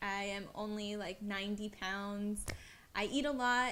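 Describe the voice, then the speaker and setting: Speaking at a fairly slow pace, a woman with an American accent uses a medium pitch. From US South, West Palm Beach, Florida. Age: 20s. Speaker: dancer and vlogger. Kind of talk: casual Q&A vlog.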